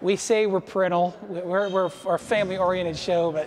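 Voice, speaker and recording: Over music in the background, a man with a high pitch speaks at a moderate pace in a monotone, flat intonation. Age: 30s. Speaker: wrestling promoter. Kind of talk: documentary interview.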